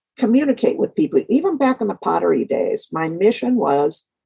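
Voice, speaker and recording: Vocal fry comes through in a dry, close sound with no echo. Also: woman. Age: 70s. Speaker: artist. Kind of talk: interview.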